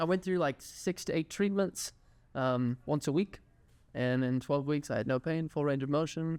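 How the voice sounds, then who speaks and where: The speaker has a slight Texas accent, ordinary pitch variation and a fairly quick pace. The recording is very clean with a silent background and a dry, close sound with no echo. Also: man. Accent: slight Texas twang. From Texas (Houston). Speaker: physical therapy student and clinic owner. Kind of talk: podcast interview.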